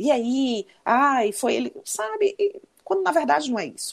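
Her pitch fairly high, a woman swings very widely up and down, with vocal fry in her voice. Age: 40s. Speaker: psychologist and former lawyer. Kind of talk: casual chat.

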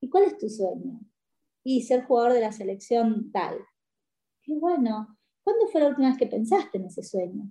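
At a moderate pace, a woman speaks in a high pitch with a dark, mellow tone, very wide pitch swings, and long, frequent pauses. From Paraguay. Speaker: sports coach. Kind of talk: interview.

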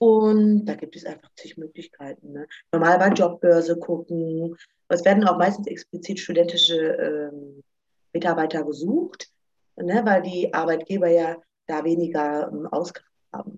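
A woman with an unremarkable speaking voice, fairly low in pitch, at a moderate pace, with fairly even intonation and big swings in loudness. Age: 30s. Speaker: student finance advisor. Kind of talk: informational interview.

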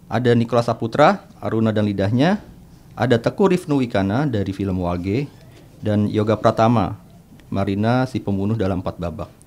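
With a normal speaking voice, a man of medium pitch talks at a fairly quick pace with ordinary pitch variation. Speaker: film podcast co-host and journalist. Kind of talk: casual chat.

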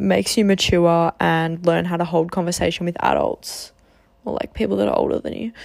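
The speaker is a woman with a fairly low pitch. She talks in an Australian accent. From Australia, Geelong, Victoria. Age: 20s. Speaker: podcast host, psychology student. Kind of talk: casual monologue.

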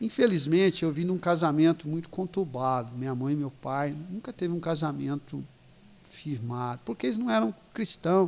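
A man with a normal speaking voice, fairly high pitch, lively intonation and moderate pace. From São Paulo state interior, Ribeirão Preto. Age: 50s. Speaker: pastor. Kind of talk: casual chat with life stories.

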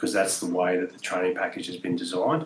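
Noticeable background noise sits behind this recording. A man talks very fast with ordinary pitch variation. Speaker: former special forces soldier. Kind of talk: casual chat.

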